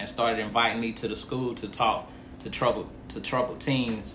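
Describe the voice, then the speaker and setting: A man speaks with an American accent at a fairly slow pace. Audible room echo is present. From Montgomery County, North Carolina. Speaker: nonprofit founder, former inmate. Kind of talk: interview.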